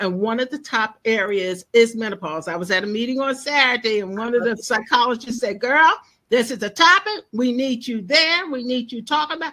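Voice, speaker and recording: A woman talks in a high, bright, sharp voice at a fairly quick pace, with hardly any pauses. Her tone is animated and her intonation lively. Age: 70s. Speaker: menopause educator. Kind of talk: interview.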